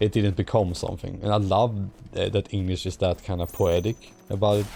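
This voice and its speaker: Speaking at a moderate pace with a Swedish accent, a man has a fairly low pitch, a dark, mellow tone, a somewhat breathy sound and monotone, flat intonation. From Sweden. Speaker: streamer. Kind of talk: casual chat. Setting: live stream.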